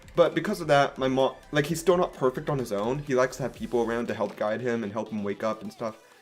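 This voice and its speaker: Over music in the background, a man with a medium pitch talks at a very fast pace with lively intonation and hardly any pauses. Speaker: gaming YouTuber. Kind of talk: casual vlog update.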